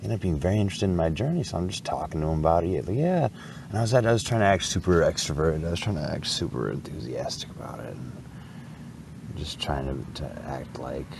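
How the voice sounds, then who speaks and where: A man with a very deep, low voice and very wide pitch swings talks at a very fast pace amid audible room echo and noticeable background noise. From Wisconsin. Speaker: bike traveler vlogger. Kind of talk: casual vlog monologue. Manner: halting, many repetitions.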